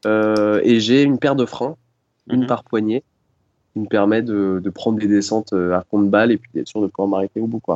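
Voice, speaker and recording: A man with a plain, everyday voice, fairly low in pitch, with fairly even intonation. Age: 30s. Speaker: roller-skate traveller. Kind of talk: interview.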